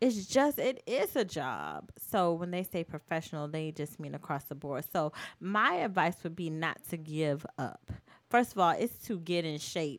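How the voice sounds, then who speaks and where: In an American accent, a woman speaks with an ordinary speaking voice, fairly low in pitch, at a moderate pace. Her intonation is lively, and the recording is very clean with a silent background. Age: 20s. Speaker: dance choreographer. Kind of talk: casual chat.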